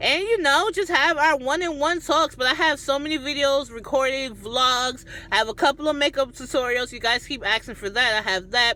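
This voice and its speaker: This woman's voice is high-pitched, raised and projected. She talks at a fairly quick pace with lively intonation. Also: hardly any pauses. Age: 30s. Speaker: YouTuber and chef. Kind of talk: cooking tutorial; casual vlog talk to camera.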